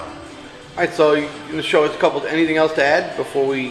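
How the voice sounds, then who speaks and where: A man talks at a very fast pace in a monotone, flat way, his pitch fairly high. Noticeable background noise runs underneath. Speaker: boxing club interviewer. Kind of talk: interview questions.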